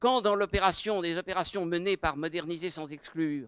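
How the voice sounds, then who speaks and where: Heard in a dry, close sound with no echo, a man with a high pitch talks at a moderate pace with ordinary pitch variation. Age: 70s. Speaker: adult education pedagogue. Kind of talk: public talk.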